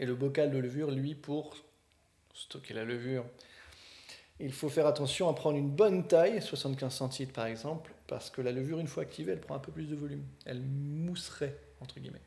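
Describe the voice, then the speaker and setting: Fairly high in pitch, this man's voice has a dark, mellow tone, a somewhat breathy quality and ordinary pitch variation, with big swings in loudness and long, frequent pauses. Audible room echo surrounds it. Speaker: beer podcast co-host. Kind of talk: casual chat. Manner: fast.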